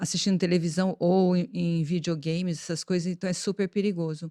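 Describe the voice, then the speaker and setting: A woman with a normal speaking voice talks at a moderate pace in a medium pitch with fairly even intonation, in a very clean recording with a silent background and a dry, close sound with no echo. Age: 60s. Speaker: podcast host and plastic surgeon. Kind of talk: interview podcast chat.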